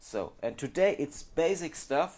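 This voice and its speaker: In a German accent, a man speaks with lively intonation. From Germany. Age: 30s. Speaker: phone repair technician. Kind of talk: monologue to camera. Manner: halting.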